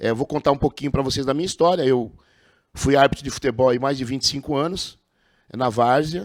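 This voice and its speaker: A man speaks at medium pitch with fairly even intonation. The recording is very clean and dry, close with no echo and a silent background. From Brazil, Osasco (São Paulo). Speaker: podcast host, former amateur football referee. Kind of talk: podcast interview.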